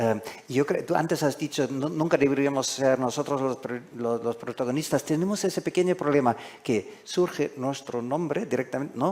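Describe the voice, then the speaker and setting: The man's voice is fairly high, with ordinary pitch variation. He speaks at a moderate pace. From Germany. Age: 60s. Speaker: foreign correspondent. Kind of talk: panel discussion. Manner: halting.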